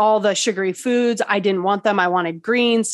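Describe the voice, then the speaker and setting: Delivered at a moderate pace, this is a normal speaking voice. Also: woman. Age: 40s. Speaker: wellness coach and EFT practitioner. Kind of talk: interview.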